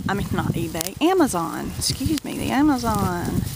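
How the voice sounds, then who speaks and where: A woman's voice in a dry sound with no echo, under loud background noise. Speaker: product haul vlogger. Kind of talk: casual vlog chat. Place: garden.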